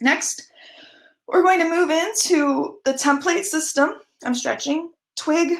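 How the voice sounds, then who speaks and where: The speaker has an animated tone and lively intonation. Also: woman. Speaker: conference speaker. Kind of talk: conference talk. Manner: fast.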